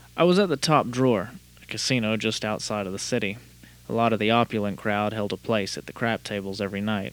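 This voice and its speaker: A man's fairly low voice at a very fast pace. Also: ordinary pitch variation. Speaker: podcast host. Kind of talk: casual podcast chat with hard-boiled noir narration. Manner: casual, chatty, filler-heavy; noir narration: gruff, dry, world-weary private-eye delivery.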